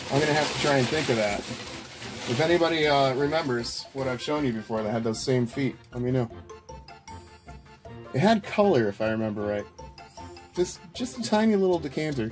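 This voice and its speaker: A man delivers his words fairly quickly while faint music sounds behind him. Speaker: thrift haul vlogger. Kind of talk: casual vlog chat. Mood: excited and amused. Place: home room. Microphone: camera far.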